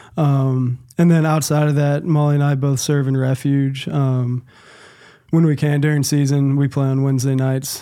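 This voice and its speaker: A man's monotone, flat intonation with an American accent. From US South, Nashville, Tennessee. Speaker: athletic trainer. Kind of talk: interview.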